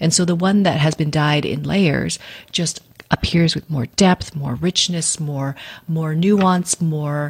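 Woman with a Canadian accent, an unremarkable speaking voice, fairly low pitch with ordinary pitch variation and a fairly slow pace. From Vancouver, western Canada. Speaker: yarn company founder and dyer. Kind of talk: interview.

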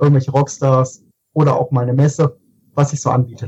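At a fairly quick pace, a man talks with a fairly high pitch and a dark, mellow, somewhat breathy tone. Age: 30s. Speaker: photographer. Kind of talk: casual chat.

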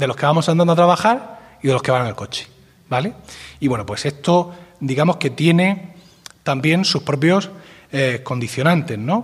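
A normal speaking voice moves at a fairly quick pace. Its intonation is lively. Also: man. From Spain, Murcia. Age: 40s. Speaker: podcaster and podcast network director. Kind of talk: conference talk.

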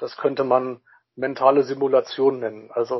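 The speaker is a man. He talks at a moderate pace. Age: 30s. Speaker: social worker and crisis intervention volunteer. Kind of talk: interview.

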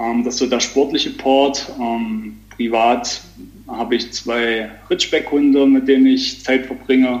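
A man's flat, monotone voice at medium pitch and a fairly slow pace, against noticeable background noise. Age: 30s. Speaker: business owner and amateur triathlete. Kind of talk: casual interview. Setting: remote call.

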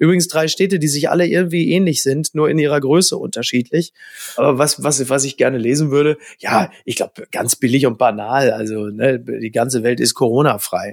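A man with an ordinary speaking voice talks fairly quickly at a fairly high pitch with ordinary pitch variation, the sound dry and close with no echo. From Ruhr area, Germany (Recklinghausen). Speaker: journalist and TV host. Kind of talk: casual chat.

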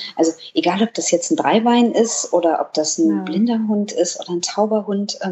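Somewhat breathy female voice at medium pitch, moderate pace and lively intonation. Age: 30s. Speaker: dog blogger, office clerk. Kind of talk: casual interview. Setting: indoors.

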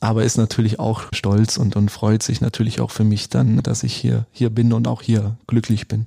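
With hardly any pauses, a man speaks in a fairly low pitch with a dark, mellow tone. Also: ordinary pitch variation, moderate pace. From Swabia, southern Germany. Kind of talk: casual interview. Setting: club lounge.

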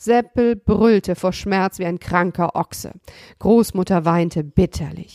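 Reading in a natural reading voice, with pitch that varies in an ordinary way

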